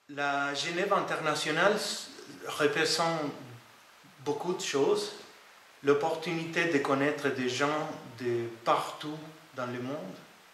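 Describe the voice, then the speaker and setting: A man's fairly high voice with a non-native accent, very slow pace, long and frequent pauses, ordinary pitch variation, audible room echo, and noticeable background noise. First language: not French (speaking French). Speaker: IT project manager. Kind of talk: interview testimony. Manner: halting, many hesitations.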